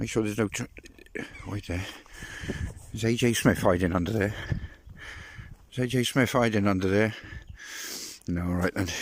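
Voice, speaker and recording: The speaker uses ordinary pitch variation and leaves long, frequent pauses. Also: man. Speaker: travel vlogger. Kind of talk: casual vlog commentary while reading signs. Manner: fast; animated.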